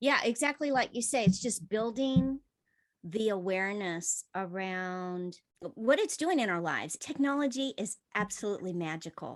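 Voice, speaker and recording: In a normal speaking voice, a woman talks at a moderate pace and medium pitch with lively intonation against a quiet background. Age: 50s. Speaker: podcast co-host. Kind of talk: casual podcast chat.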